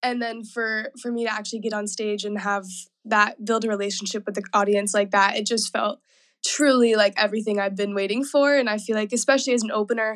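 Against a quiet background, a woman with an American accent and an ordinary speaking voice talks at a fairly quick pace in a fairly high pitch. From US South, Nashville. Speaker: pop-soul singer. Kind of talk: interview.

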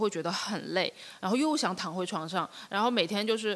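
At a moderate pace, a woman talks in a medium pitch. Her pitch varies in an ordinary way. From Shenzhen, China. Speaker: artist. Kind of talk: casual interview chat. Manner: halting, with many fillers.

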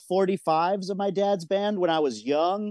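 A man's high voice with an American accent, at a moderate pace, dry and close with no echo, over a quiet background. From Michigan, small town. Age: 40s. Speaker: record label owner. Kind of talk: casual interview.

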